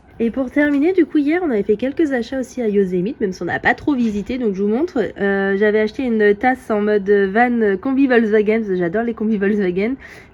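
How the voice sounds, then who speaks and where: Speaking at a fairly quick pace with hardly any pauses, a woman uses a plain, everyday voice, fairly high in pitch, with lively intonation. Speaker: family travel vlogger. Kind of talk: casual vlog talk to camera.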